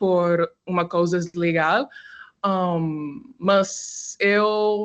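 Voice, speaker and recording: A woman's medium-pitched voice in an English accent, very slow, with ordinary pitch variation. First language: English (speaking Portuguese). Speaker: undergraduate student. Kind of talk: self-introduction in a video call. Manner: halting.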